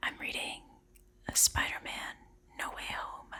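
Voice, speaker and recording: Whispering at a moderate pace. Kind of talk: casual talk to camera.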